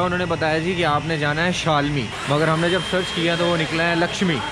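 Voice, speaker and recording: A man keeps a moderate pace while loud background noise fills the recording. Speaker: travel vlogger. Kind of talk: casual vlog chat. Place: street. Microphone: phone near.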